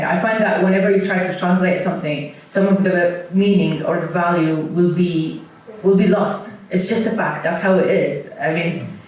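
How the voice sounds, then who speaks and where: A man speaks with a high pitch. Audible room echo and noticeable background noise are present. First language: Arabic (Kuwaiti dialect). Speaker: poet. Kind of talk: poetry performance. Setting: stage with audience. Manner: halting.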